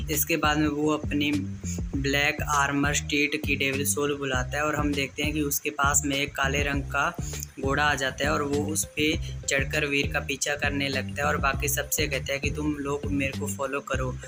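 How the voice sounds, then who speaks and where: A man speaks at a very even loudness while music plays in the background. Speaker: comic recap narrator. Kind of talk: story recap narration. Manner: casual.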